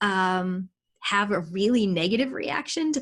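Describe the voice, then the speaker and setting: A woman with lively intonation, in a very clean recording with a silent background. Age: 40s. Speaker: interviewer. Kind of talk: interview.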